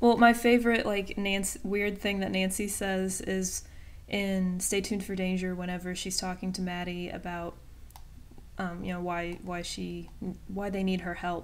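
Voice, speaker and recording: Heard with audible room echo, a woman with an American accent speaks at medium pitch and a moderate pace in a monotone, flat intonation. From Virginia, US, small town. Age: 20s. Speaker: YouTuber, student. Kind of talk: casual Q&A vlog. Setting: webcam recording at home. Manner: hesitant, many fillers.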